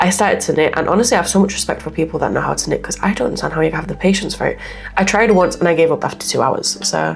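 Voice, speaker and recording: Over background music, a woman with a fairly low voice talks at a very fast pace. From Poland. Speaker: gaming YouTuber. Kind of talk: casual chat over gameplay. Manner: chatty, rambling.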